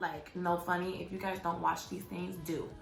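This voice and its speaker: A woman's medium-pitched, animated voice at a fairly quick pace, with music in the background and audible room echo. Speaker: faith vlogger. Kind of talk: casual vlog monologue. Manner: fast.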